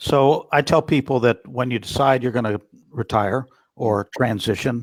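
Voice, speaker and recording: A man speaks at medium pitch with ordinary pitch variation, an unremarkable speaking voice. The recording is very clean and dry, close-up with no echo and a silent background. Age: 60s. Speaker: retired army general and author. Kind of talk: interview.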